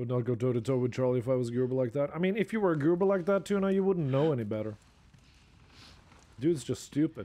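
A man talks at a very fast pace with lively intonation and a dark, mellow tone. He leaves long, frequent pauses. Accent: Norwegian. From Norway. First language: Norwegian. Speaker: video game streamer. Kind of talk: casual live commentary while gaming. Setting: live stream. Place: home room. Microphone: studio mic.

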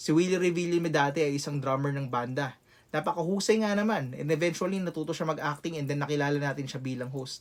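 This man talks at a fairly quick pace in a fairly high pitch with ordinary pitch variation, an unremarkable speaking voice. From Philippines, Quezon City. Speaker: rapper and content creator. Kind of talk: motivational vlog.

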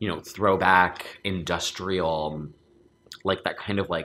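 A man speaks slowly in a low pitch, his tone bright and sharp and his intonation fairly even.

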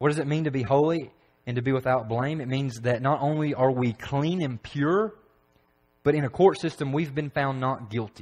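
A man with a Tennessee accent, at a moderate pace and with ordinary pitch variation. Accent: Southern US (Tennessee). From Tennessee, McMinnville. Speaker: preacher. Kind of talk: sermon. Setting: church. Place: church.

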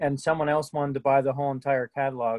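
Talking at a fast pace, a man has a medium pitch and a slightly mellow tone in a dry, close sound with no echo. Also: fairly even intonation.

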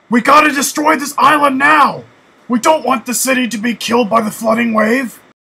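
At a moderate pace, a man performs a cartoonish character voice at an extremely high pitch. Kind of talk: cartoon character dialogue.

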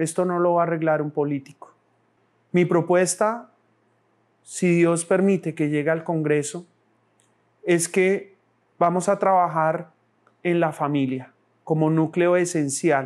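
A man speaks in a high voice with fairly even intonation, leaving long, frequent pauses against a quiet background. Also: fairly slow pace. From Colombia, born in Bogotá, raizal family from San Andrés; Colombia. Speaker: political candidate; candidate. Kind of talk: campaign speech. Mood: earnest, calm, faith-tinged. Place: studio. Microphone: lapel.

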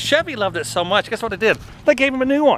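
A man's raised, projected voice, dry with no echo, over light background noise. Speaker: comedian vlogger. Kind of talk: casual vlog chat. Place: street. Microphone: phone near.

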